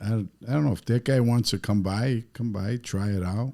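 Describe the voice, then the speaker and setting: A man with a strong Chicago accent at a fairly slow pace, ordinary pitch variation, very clean recording with a silent background. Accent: heavy South Side Chicago. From Chicago, South Side. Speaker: pizzeria owner and car builder. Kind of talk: casual chat.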